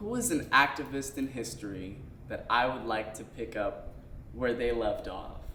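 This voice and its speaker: Recorded with audible room echo, a man with an American accent talks at a moderate pace. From upstate New York (Schenectady). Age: 20s. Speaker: interviewee, theater artist. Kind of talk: documentary interview. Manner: casual, hesitant with fillers.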